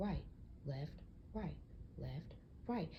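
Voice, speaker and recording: A woman's somewhat breathy voice with a dark, mellow tone and very wide pitch swings. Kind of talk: casual podcast rant. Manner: casual, conversational.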